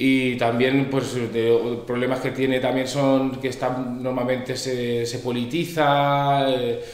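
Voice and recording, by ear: A man's medium-pitched voice at a slow pace, with little pitch movement and audible room echo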